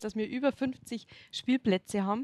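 A woman's fairly high, ordinary speaking voice with ordinary pitch variation, recorded with a dry, close sound and no echo. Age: 30s. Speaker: local politician, religion teacher. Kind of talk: casual interview.

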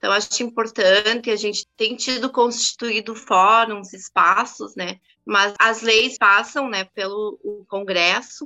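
Against a quiet background, a woman with a fairly high pitch and a bright, sharp tone speaks at a very slow pace with fairly even intonation, the sound dry and close with no echo. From Brazil–Uruguay border, Santana do Livramento. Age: 40s. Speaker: feminist activist. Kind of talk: interview.

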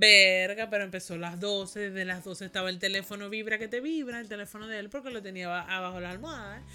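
A woman talks at a very fast pace with hardly any pauses and ordinary pitch variation. Her loudness swings widely, and music plays in the background. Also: medium pitch for a woman. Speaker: podcast co-host. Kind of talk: casual chat.

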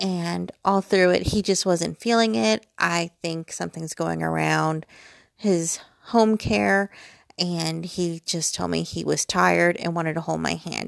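On a very clean recording with a silent background, a woman talks at a fairly slow pace in a dry, close sound with no echo. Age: 40s. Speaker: podcaster, mother. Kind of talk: casual monologue. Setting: home bedroom. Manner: rambling, chatty.

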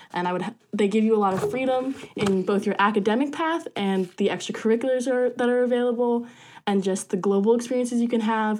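Speaking very fast, a woman with an American accent uses a fairly high pitch. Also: ordinary pitch variation. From US Northeast, rural New Jersey. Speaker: student orientation leader. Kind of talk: casual chat.

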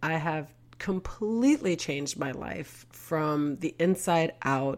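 A woman speaks with a New York accent at a very deep, low pitch. The recording is very clean, with a silent background. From Queens, New York. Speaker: podcast host and real estate agent. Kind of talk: casual monologue.

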